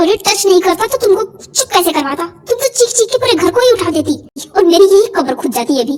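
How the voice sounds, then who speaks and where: Using a put-on character voice, a woman talks at a very fast pace with an extremely high pitch. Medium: read story. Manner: cocky, teasing.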